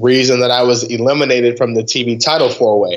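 A man with an American accent, medium in pitch, at a moderate pace. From Ohio, Cleveland east side. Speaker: pro wrestler. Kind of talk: casual interview.

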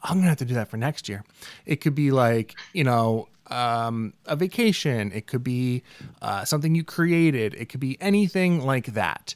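On a very clean recording with a silent background, a man with an unremarkable speaking voice talks at a moderate pace in a medium pitch, his intonation lively. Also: dry, close sound with no echo. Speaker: podcast host. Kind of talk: casual chat.

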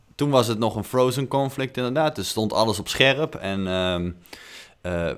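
Speaking at a moderate pace with ordinary pitch variation, a man has an unremarkable speaking voice. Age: 20s. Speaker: podcast co-host. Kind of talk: casual chat.

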